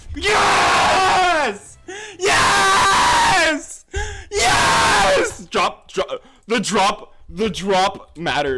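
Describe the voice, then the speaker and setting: Someone shouts at a very slow pace over music in the background. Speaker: gaming streamer. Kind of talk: live gameplay commentary. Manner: animated; loud, yelling.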